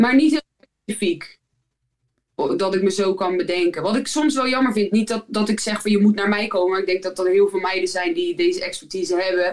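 Speaking at a fairly quick pace, a woman uses a plain, everyday voice of medium pitch with ordinary pitch variation. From Netherlands, Rotterdam area (Zwijndrecht, Barendrecht). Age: 30s. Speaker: professional basketball player. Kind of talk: casual interview.

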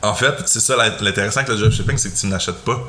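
A man's fairly low voice at a fairly quick pace, with audible room echo and noticeable background noise. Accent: Quebec. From Quebec. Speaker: financial advisor. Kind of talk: casual chat.

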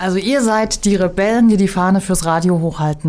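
Speaking in an ordinary speaking voice, a woman with a medium pitch moves at a fairly quick pace with ordinary pitch variation. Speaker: degree program director. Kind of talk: interview. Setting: studio.

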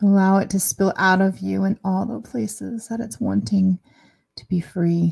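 Somewhat breathy and gentle, a woman's soothing voice sits at medium pitch with lively intonation. The sound is dry and close, with no echo. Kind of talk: guided meditation. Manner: slow, soothing, calm; gentle, with long pauses.

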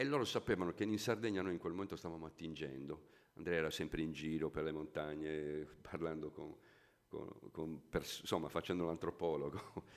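Very deep and low, this man's pitch moves with ordinary variation. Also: moderate pace. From Sardinia (Gallura, raised in Sassari). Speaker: musician. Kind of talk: interview.

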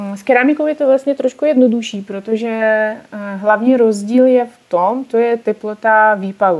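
Here a woman speaks with a Russian accent at a fairly high pitch. Her pace is moderate and her pitch variation is ordinary. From Russia, Ural region. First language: Russian (speaking Czech). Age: 20s. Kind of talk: casual interview. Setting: online call.

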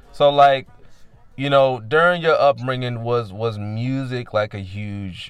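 A man talks at a fairly slow pace in a medium pitch. His tone is animated. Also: big swings in loudness. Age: 30s. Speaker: podcast host. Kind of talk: casual chat. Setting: phone call.

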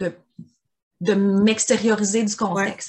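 A woman's fairly high, somewhat breathy voice in a Quebec accent. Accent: Québécois French. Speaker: podcast co-host. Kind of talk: casual chat.

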